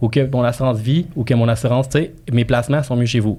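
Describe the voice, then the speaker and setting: A man's dark, mellow voice at medium pitch and a fairly quick pace. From immigrant to Quebec. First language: not French (speaking French). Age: 30s. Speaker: real estate broker and marketing coach. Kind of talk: casual podcast interview. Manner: animated, colloquial.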